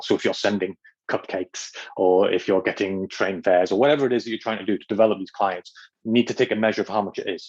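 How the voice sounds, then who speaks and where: Talking at a very fast pace, a man keeps a fairly low pitch with ordinary pitch variation. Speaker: agency consultant hosting a workshop. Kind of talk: online workshop presentation. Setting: video call. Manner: fast, self-described.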